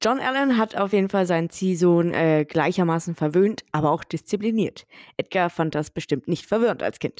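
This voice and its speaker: This woman has an ordinary speaking voice, fairly low in pitch with ordinary pitch variation, talking at a moderate pace with very even loudness in a dry, close sound with no echo, on a very clean recording with a silent background. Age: 30s. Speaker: true crime podcast host. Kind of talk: casual storytelling chat.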